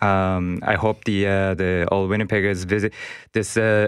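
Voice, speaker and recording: A man talks in a very deep, low pitch with a Japanese accent. His intonation is monotone and flat, and his pace is moderate. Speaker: festival organizer. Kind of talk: interview. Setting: studio. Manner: halting.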